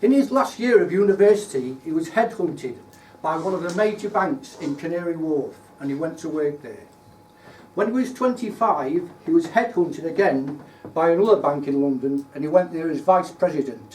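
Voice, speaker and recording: Against noticeable background noise, a man with a Lincolnshire accent speaks at a high pitch and a moderate pace, with lively intonation. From Lincolnshire, England. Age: 60s. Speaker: retired engineer giving a club speech. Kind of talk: prepared speech. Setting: speaking club meeting with audience. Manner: formal.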